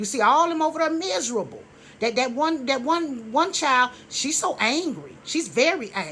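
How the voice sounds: Her tone bright and sharp, a woman speaks.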